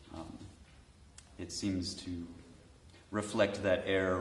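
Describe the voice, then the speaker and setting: A very deep, low-pitched man with an American accent, at a fairly slow pace with audible room echo. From United States. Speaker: composer and pianist. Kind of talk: panel discussion. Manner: halting.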